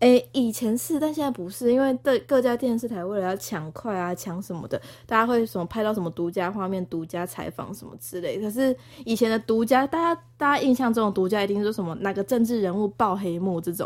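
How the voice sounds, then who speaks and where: A woman with an unremarkable speaking voice talks at a fairly quick pace and a fairly high pitch, with lively intonation, big swings in loudness, and hardly any pauses. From Taiwan, Tainan. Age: 20s. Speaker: former TV news reporter, graduate student. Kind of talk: casual chat.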